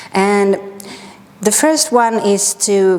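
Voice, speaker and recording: A woman talks with a strong Swedish accent. Background noise is noticeable. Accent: heavy Swedish. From Sweden. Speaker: yoga teacher. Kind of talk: guided yoga class. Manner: calm, gentle.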